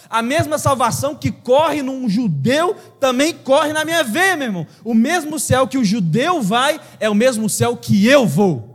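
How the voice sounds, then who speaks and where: A man speaks at an extremely high pitch with lively intonation and an animated tone. His pace is fairly slow, with hardly any pauses. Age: 30s. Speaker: pastor. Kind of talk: sermon.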